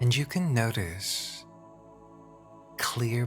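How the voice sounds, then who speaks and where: Over music in the background, a man with a fairly low voice speaks at a very slow pace with lively intonation. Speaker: hypnotherapist. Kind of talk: guided hypnosis imagery. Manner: slow, soft-spoken.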